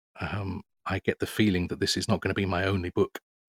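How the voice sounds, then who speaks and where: A man with a British accent and a fairly low pitch speaks in a monotone at a moderate pace, the sound dry and close with no echo on a very clean recording with a silent background. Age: 50s. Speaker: author and journalist. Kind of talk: interview. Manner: hesitant, many filler words.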